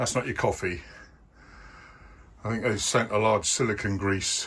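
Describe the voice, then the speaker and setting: A man at a moderate pace with a fairly low pitch and fairly even intonation. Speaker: vlogger. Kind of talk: vlog narration. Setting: outdoors. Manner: halting.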